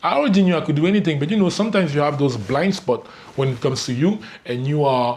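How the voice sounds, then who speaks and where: A man's fairly high, somewhat breathy voice at a very fast pace, with lively intonation. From Cameroon (Douala). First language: French. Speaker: spiritual life coach. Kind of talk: reading aloud with commentary. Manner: casual, halting with repetitions.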